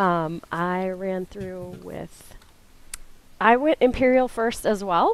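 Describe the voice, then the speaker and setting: Delivered at a very slow pace, the speech swings a lot in loudness. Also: woman, medium pitch for a woman, ordinary pitch variation. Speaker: guild emissary. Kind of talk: casual chat. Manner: speaking higher than usual.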